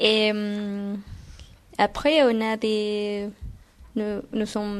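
Speaking with a Guatemalan accent, a woman uses a fairly high pitch. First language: Spanish (speaking French). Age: 20s. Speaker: Spanish language assistant. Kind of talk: interview. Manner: halting.

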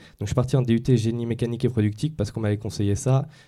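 The recording is very clean, with a silent background. A man talks in a dark, mellow tone with fairly even intonation. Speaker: engineering student. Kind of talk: panel discussion. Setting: studio with audience.

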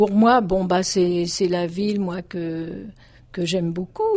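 Her dark, mellow, somewhat breathy voice sits at medium pitch for a woman with ordinary pitch variation. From France, Paris suburbs (Dugny, Aubervilliers). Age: 70s. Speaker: retired accordion teacher. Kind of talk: testimony.

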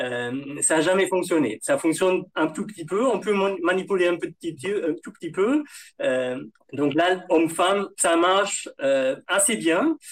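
Using very wide pitch swings, a man with high pitch speaks at a fairly slow pace. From Germany. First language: German (speaking French). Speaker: computer science researcher. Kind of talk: panel discussion.

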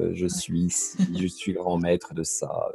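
A man speaking at a fairly slow pace, music in the background. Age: 40s. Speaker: spiritual practitioner and occult shop owner. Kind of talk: casual interview chat. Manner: hesitant, many fillers.

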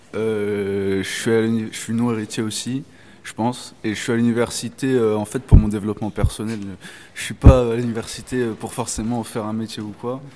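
A man with a dark, mellow tone speaks at a moderate pace and medium pitch, his intonation monotone and flat while his loudness swings widely. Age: 20s. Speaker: master's student. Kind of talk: casual chat.

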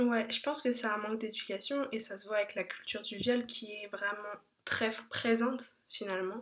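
A woman with a normal speaking voice talks at a moderate pace, her fairly high pitch held in fairly even intonation. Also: big swings in loudness. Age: 20s. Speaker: podcast host. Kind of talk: casual chat.

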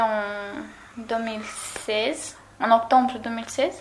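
There is noticeable background noise and audible room echo. Through it, a woman speaks at a fairly high pitch with monotone, flat intonation. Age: 20s. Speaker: former civic service volunteer. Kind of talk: recorded testimony. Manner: halting.

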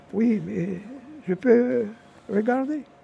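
A man's voice carries a dark, mellow tone. Its pitch variation is ordinary. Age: 80s+. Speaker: traditional storyteller. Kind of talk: storytelling. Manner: halting.

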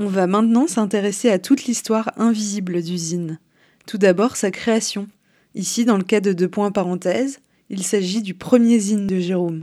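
A woman's dark, mellow tone at a medium pitch, with ordinary pitch variation and a moderate pace. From Quebec, Montreal. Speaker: podcast co-host, illustrator and screen printer. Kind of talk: scripted narration.

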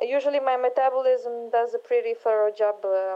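A woman with a normal speaking voice keeps a moderate pace, her fairly high pitch carried on fairly even intonation. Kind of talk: recorded testimony.

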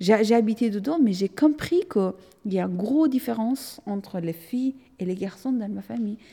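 This woman's voice is fairly high-pitched and somewhat breathy, with a dark, mellow tone and lively intonation. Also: moderate pace. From Afghanistan, Hazara from central region. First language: Dari (Persian) (speaking French). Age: 30s. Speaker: artist. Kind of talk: testimony. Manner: halting, with repetitions.

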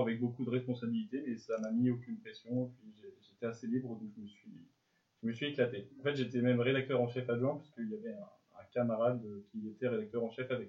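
A man at a medium pitch talks at a fairly quick pace with big swings in loudness. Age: 20s. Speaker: journalism student. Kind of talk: interview. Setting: school resource centre. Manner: halting, repeats words.

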